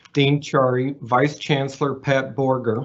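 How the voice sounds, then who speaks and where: This man has a fairly high pitch and a Texas accent. He talks at a fairly slow pace. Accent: Texas twang. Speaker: associate professor and donor. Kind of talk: prepared speech.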